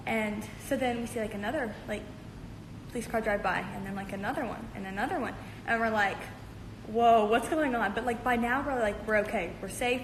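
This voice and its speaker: Audible room echo surrounds a woman's voice. Her pitch is fairly high and her pace fairly quick. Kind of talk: casual livestream storytelling. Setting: livestream. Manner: fast; animated.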